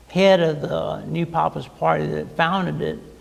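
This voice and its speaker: A man with an American accent speaks at a fairly slow pace. Audible room echo and noticeable background noise surround his voice. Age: 50s. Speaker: author. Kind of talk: interview. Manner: halting, repeats words.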